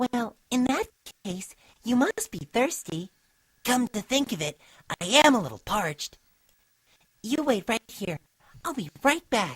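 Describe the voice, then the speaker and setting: A female-sounding put-on character voice is fairly high in pitch for a woman. It moves at a fairly slow pace with long, frequent pauses. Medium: read story. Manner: soft-spoken, gentle.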